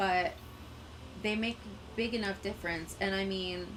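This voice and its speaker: At a fairly slow pace, a woman with a Canadian accent speaks in a medium pitch with fairly even intonation, with audible room echo around her. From Quebec, Canada. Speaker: gaming streamer. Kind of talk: casual live-stream chat.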